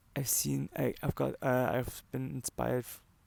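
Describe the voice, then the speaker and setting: A man's voice with a non-native accent on a very clean recording with a silent background. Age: 20s. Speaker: medical student. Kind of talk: casual talk to camera. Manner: hesitant, many filler words.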